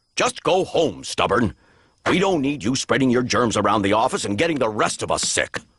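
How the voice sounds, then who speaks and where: A cartoonish character voice at low-to-middle pitch moves at a fairly quick pace. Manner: upbeat, enthusiastic.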